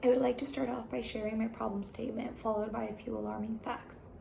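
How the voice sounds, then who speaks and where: Noticeable background noise runs through the clip, and room echo can be heard too. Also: woman. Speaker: college student presenter. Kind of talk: recorded class presentation.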